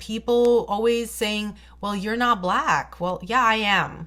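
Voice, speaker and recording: With a non-native accent, a woman speaks at a fairly slow pace in a bright, sharp tone. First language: not English. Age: 30s. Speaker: beauty vlogger. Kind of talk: storytime vlog.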